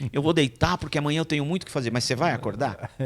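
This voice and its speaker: The very clean recording, with a silent background, captures a man talking. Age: 60s. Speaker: pastor. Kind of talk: casual chat.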